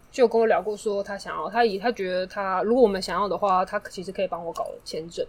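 A woman's medium-pitched voice at a very fast pace, with fairly even intonation and hardly any pauses. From Taiwan. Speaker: podcast guest. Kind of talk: casual chat. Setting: studio.

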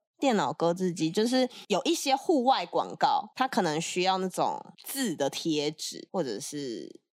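In a very clean recording with a silent background and a dry, close sound with no echo, a woman speaks at a fairly slow pace with medium pitch and very wide pitch swings. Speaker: Korean interpreter. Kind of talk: casual interview chat.

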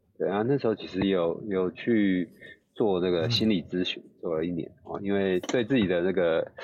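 There's a man with a very deep, low pitch. He talks at a moderate pace with ordinary pitch variation. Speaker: neurosurgeon. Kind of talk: casual chat.

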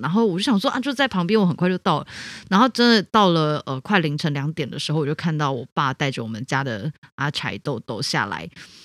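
Spoken at a fairly quick pace, the clip is a very clean recording with a silent background. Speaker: podcast co-host, city councillor. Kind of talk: casual chat.

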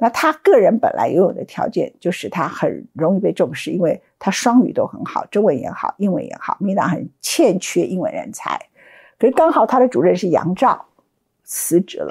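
On a very clean recording with a silent background, a woman with medium pitch and vocal fry speaks at a moderate pace, her pitch swinging very widely. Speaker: political commentator. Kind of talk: solo commentary.

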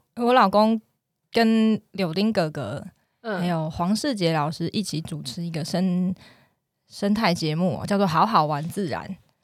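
A woman with a normal speaking voice at medium pitch, lively intonation, and a fairly slow pace, in a very clean recording with a silent background. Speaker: hospital pharmacist. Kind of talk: casual chat.

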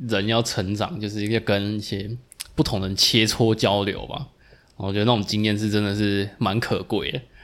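Fairly low and flat in a monotone, a man's voice moves at a moderate pace. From Taiwan (Tainan). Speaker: podcast co-host, physical therapist. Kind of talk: casual chat.

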